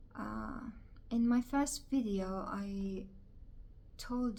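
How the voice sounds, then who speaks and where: A woman is talking. The recording carries audible room echo. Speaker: video blogger. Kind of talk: personal vlog monologue. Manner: halting.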